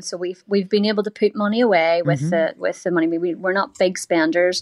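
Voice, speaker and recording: A woman with an Irish accent speaks with ordinary pitch variation, her voice dry and close with no echo. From Ireland. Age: 40s. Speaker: caller seeking financial advice.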